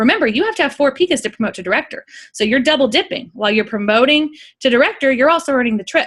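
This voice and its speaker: A woman speaks with lively intonation on a very clean recording with a silent background. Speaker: direct sales team leader. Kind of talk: informational conference call presentation. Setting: group conference call. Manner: fast.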